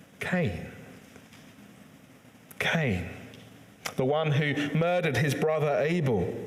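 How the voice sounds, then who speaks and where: A man speaks at a very slow pace. Noticeable background noise is present. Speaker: church preacher. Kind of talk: sermon delivered to a congregation.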